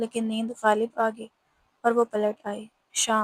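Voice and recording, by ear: Over a quiet background, the text is read aloud in a natural voice.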